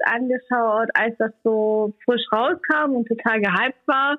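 A woman is speaking. Her pace is fairly slow. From Saxony, Germany (Leipzig). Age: 20s. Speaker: Roma community youth worker. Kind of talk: interview.

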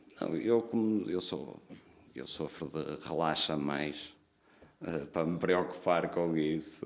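A man with a very deep, low voice speaks at a very slow pace with ordinary pitch variation and audible room echo. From northern Portugal, Braga. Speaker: restaurant owner. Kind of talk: casual chat.

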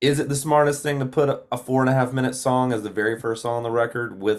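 A man with a Southern US accent, medium pitch and a fairly quick pace, on a very clean recording with a silent background. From Georgia, US (Gainesville). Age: 20s. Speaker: country singer-songwriter. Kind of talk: casual interview chat.

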